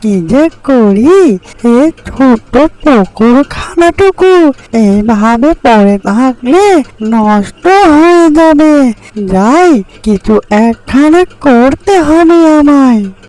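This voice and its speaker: A cartoonish character voice set at a high pitch. It moves at a very slow pace. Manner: friendly, gentle.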